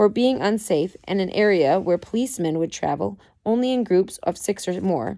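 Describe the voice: Lively intonation throughout plain reading aloud.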